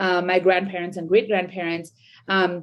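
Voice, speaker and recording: A woman talks at a fairly quick pace. She speaks with a Bengali accent. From India. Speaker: sociology professor. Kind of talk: podcast interview. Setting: video call. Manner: halting, many fillers.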